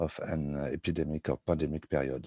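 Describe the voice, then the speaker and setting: A dark, mellow tone with a French accent. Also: man. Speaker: researcher presenting study results. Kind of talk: online presentation. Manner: halting.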